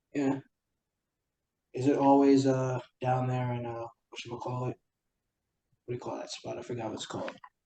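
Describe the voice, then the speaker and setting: A man with a New York accent speaks at a fairly quick pace in a dark, mellow tone at medium pitch, with monotone, flat intonation and long, frequent pauses. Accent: New York City. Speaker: podcast host. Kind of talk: casual chat.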